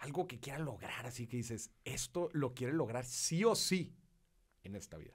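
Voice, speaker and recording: Against a quiet background, a somewhat breathy man talks at a moderate pace in an animated tone, with lively intonation and big swings in loudness. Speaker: podcast host. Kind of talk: casual chat. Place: studio. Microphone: studio mic.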